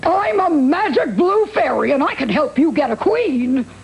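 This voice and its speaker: A high, cartoonish character voice swings very widely in pitch at a moderate pace. Clear background noise sits behind it. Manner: breezy, wisecracking.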